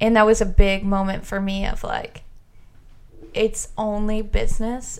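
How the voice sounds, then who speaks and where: A woman with an American accent speaks in an unremarkable speaking voice, fairly high in pitch, at a moderate pace with fairly even intonation. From US Midwest. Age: 20s. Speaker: supplier rep, former bartender. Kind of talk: casual chat.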